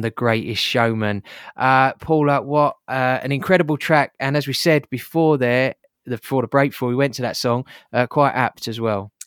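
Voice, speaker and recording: A man speaks in a plain, everyday voice at a moderate pace. His pitch is medium and his intonation fairly even. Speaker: podcast host. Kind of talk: interview.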